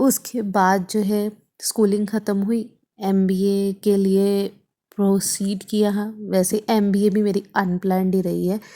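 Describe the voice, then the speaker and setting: Against a very clean recording with a silent background, a dark, mellow tone holds a monotone, flat intonation. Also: woman, medium pitch for a woman. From Haryana, India (near Ambala). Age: 30s. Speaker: vlogger and podcast host. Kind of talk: casual monologue podcast.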